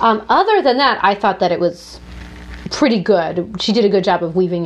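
A woman speaks at a fairly quick pace in an animated tone. Her intonation is lively. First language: French. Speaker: book podcast co-host. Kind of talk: casual chat. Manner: animated, laughs often.

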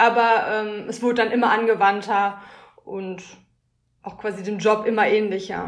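A woman with a fairly high voice talks at a fairly slow pace in a monotone, flat way, leaving long, frequent pauses, with audible room echo. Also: big swings in loudness. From Ruhr area, Germany (Schwerte near Dortmund). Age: 20s. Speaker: master's student in design. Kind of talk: casual interview.

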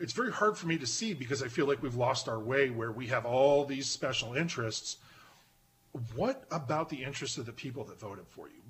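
Using a plain, everyday voice, a man with an American accent speaks at a fairly quick pace, medium pitch and ordinary pitch variation. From Pennsylvania. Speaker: podcaster. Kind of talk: casual chat.

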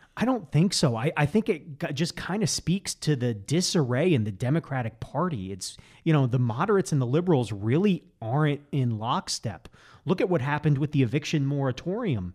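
Somewhat breathy and fairly high-pitched, a man talks at a fairly quick pace with very wide pitch swings. The recording is very clean, with a silent background. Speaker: economics professor. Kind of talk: casual interview chat. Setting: studio.

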